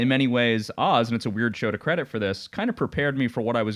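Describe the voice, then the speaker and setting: In an American accent, this is an ordinary speaking voice with ordinary pitch variation at a fairly quick pace. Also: man. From Long Island, New York. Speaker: podcast co-host. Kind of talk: casual chat.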